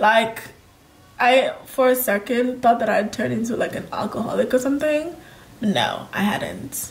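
An animated tone at a fairly slow pace. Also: woman, high pitch for a woman. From Kenya. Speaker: lifestyle vlogger. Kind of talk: casual chat. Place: home room.

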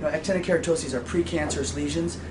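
There is noticeable background noise. Through it, a man speaks. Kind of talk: interview answer. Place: shop.

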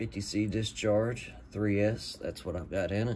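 A man speaks at a very slow pace in a fairly low, monotone, flat voice. Light background noise is present. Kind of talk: casual vlog chat. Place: workshop. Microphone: phone near.

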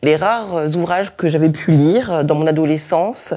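A woman's fairly low-pitched voice at a moderate pace, with ordinary pitch variation over a quiet background. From France, of Togolese parents. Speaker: historian, university lecturer; university lecturer. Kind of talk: lecture. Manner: hesitant, many fillers. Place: hall.

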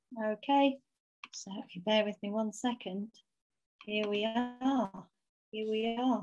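Over noticeable background noise, a woman speaks very slowly with fairly even intonation and long, frequent pauses. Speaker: university head of school; university head hosting online lecture. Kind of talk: formal welcome speech. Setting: video call. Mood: warm, friendly. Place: home room. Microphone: video call.

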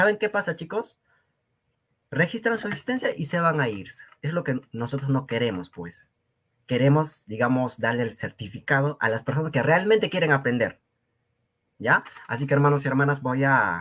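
A man speaks at a fairly high pitch with very wide pitch swings. His pace is moderate, broken by long, frequent pauses. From Peru, Cusco region (rural Quechua community). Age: young. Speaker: Quechua language teacher. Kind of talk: lecture. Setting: live stream. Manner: animated.

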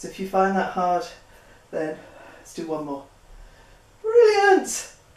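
A fairly slow pace with audible room echo. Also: woman. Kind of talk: exercise class instruction. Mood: encouraging, upbeat. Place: home room.

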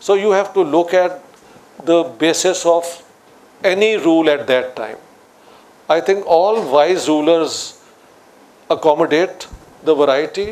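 A man with a high pitch and a Pakistani Punjabi accent, fairly slow, ordinary pitch variation, long and frequent pauses. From Pakistan, Lahore. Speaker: political scientist; guest. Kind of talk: public discussion on stage. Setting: stage with audience. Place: studio.

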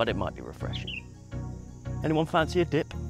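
Over clear background music, a man speaks in a dry sound with no echo. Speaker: travel vlogger. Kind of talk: casual vlog chat. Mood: light, joking. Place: street. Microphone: lapel.

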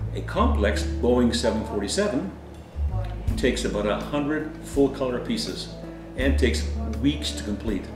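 Over clear background music, a man with a very deep, low voice makes very wide pitch swings and leaves long, frequent pauses. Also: moderate pace. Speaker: paper airplane hobbyist. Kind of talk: hobby demo talk to camera. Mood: calm, friendly. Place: home room. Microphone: camera far.

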